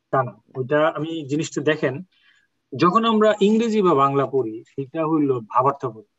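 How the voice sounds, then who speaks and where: This man has an unremarkable speaking voice at a fairly high pitch. He speaks with lively intonation. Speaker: Quran Arabic teacher. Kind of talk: online class.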